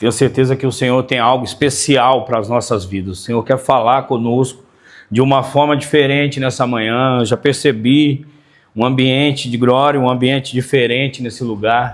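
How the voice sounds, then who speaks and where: This man's medium-pitched voice holds a fairly even intonation as he talks at a moderate pace. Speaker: pastor. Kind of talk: sermon. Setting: church.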